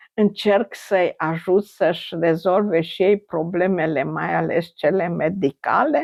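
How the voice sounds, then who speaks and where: With hardly any pauses, a woman speaks at a very slow pace in a fairly low pitch, showing vocal fry and ordinary pitch variation. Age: 80s+. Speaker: retired infectious disease doctor. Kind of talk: interview.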